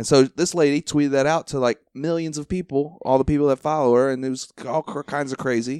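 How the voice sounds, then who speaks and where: Here is a man with an ordinary speaking voice, fairly high in pitch, with fairly even intonation. He talks at a fairly quick pace with hardly any pauses, and the sound is dry and close with no echo. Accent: American. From Ohio. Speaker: podcast host, stand-up comedian. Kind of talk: casual chat. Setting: at the guest's home.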